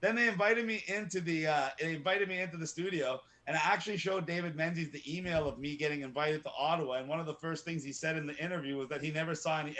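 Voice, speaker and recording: A loud, animated man at a very fast pace with hardly any pauses, fairly high in pitch with ordinary variation, his tone bright and sharp. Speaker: activist. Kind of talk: interview.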